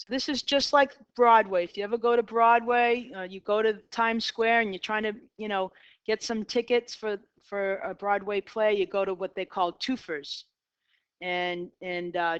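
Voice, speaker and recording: Recorded against a quiet background with a dry, close sound and no echo, a woman with a Boston accent speaks with ordinary pitch variation. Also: fairly high pitch for a woman, moderate pace. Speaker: math teacher. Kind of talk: casual classroom lecture. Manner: conversational, uses fillers.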